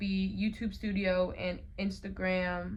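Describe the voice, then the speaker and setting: The clip features a woman with an American accent, recorded with audible room echo. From Colorado, US. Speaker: college student vlogger. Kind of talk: casual vlog talk. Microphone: phone mic.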